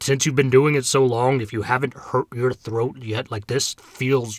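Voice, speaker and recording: Doing a put-on character voice, a man sounds raspy at medium pitch with monotone, flat intonation and a moderate pace, the sound dry and close with no echo. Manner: forced low pitch, straining.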